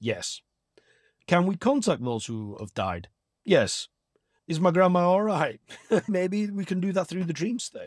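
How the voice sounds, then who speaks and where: A man with a Lancashire accent and high pitch in very wide swings, at a fairly slow pace with long, frequent pauses, in a very clean, dry, close recording with no echo and a silent background. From northern England, Blackburn, Lancashire. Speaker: astral projection teacher and hypnotherapist. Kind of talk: podcast interview.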